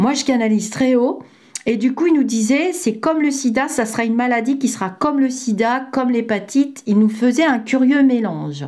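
A woman with a high pitch speaks at a moderate pace with ordinary pitch variation. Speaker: psychic medium and former healthcare worker. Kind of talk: vlog monologue. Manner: hesitant, many fillers.

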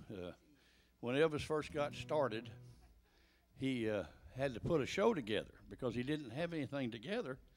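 Faint background music under a man's voice, the pace moderate. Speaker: comedian. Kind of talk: stage banter to audience. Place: stage. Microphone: studio mic.

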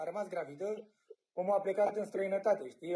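The man talks at a very fast pace. His tone is dark and mellow. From Romania. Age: 20s. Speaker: cameraman. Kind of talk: casual chat. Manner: animated. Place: home room. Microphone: phone near.

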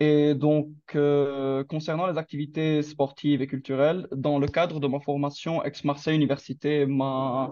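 Monotone, flat intonation at a fairly slow pace against a quiet background. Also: man. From Lebanon. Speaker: international master's student. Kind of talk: testimony. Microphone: video call.

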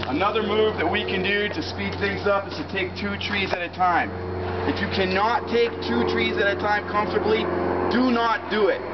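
A man talks at a moderate pace while loud noise fills the background. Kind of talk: tutorial. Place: street. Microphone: camera far.

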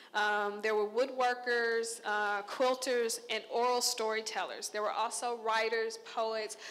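A woman with an American accent speaks at a fairly high pitch in a monotone, flat intonation. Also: fairly slow pace. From Texas, Conroe; Texas. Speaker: visual artist. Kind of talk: artist talk to an audience. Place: hall. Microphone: handheld.

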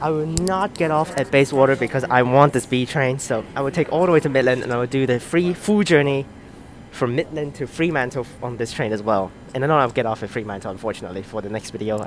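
Very fast speech with lively intonation, dry with no echo, over background music. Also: man. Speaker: train enthusiast vlogger. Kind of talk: casual vlog chat. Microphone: earbuds.

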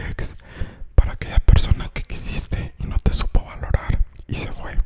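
Someone is whispering. The pace is moderate. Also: man. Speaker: ASMR content creator. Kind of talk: ASMR quote reading to camera. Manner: soft-spoken, whispery. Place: home room. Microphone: studio mic.

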